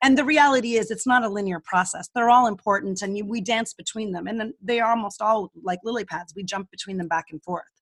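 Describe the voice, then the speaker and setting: Talking very fast with hardly any pauses, a woman with a fairly high, somewhat breathy voice shows ordinary pitch variation and big swings in loudness in a dry, close recording with no echo. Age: 50s. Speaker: speaker on aging. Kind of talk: interview.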